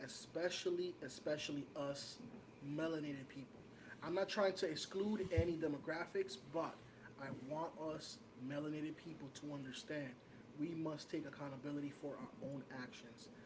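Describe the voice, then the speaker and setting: A man with a New York accent, fairly high-pitched, at a moderate pace, with audible room echo. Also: ordinary pitch variation. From New York City, Washington Heights. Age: 30s. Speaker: podcast co-host. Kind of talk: casual chat.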